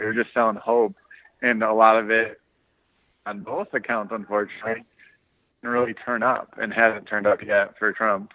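This man has an American accent and a plain, everyday voice. His pitch is medium, and his intonation stays fairly even. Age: 30s. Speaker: podcast co-host. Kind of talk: casual chat.

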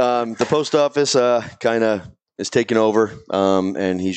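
Ordinary pitch variation with a Boston accent. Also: man. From Boston area. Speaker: podcast host. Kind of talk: casual chat. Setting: studio with live audience.

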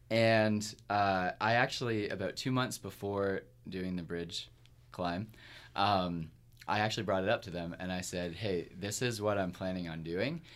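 A man with a plain, everyday voice at a fairly low pitch, ordinary pitch variation and a moderate pace, on a very clean recording with a silent background. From Kingston, Ontario, Canada. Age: 30s. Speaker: musician. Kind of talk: casual interview chat. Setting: studio.

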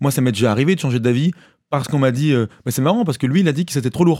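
This man's voice is medium in pitch, with a dark, mellow tone. He speaks very fast, with ordinary pitch variation. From western France (Maine-et-Loire, near Cholet). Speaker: musician. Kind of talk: casual chat.

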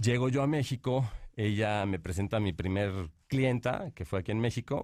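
Talking at a fairly quick pace, a man has a plain, everyday voice and a fairly low pitch. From Mexico, Monterrey. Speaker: painter and entrepreneur. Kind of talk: interview.

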